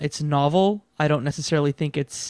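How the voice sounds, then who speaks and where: Here is a man with a normal speaking voice. His pitch is fairly high and varies in an ordinary way. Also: very clean recording, silent background. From Canada. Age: 30s. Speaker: video game podcast host. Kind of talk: casual chat.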